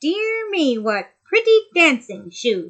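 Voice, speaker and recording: Speaking in a put-on character voice at an extremely high pitch, a woman swings her pitch very widely while talking at a very slow pace. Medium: read story.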